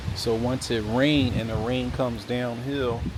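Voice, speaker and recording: A man with an American accent speaks at a medium pitch. Noticeable background noise and audible room echo surround him. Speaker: real estate agent / video host. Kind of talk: property walkthrough tour. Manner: casual, conversational.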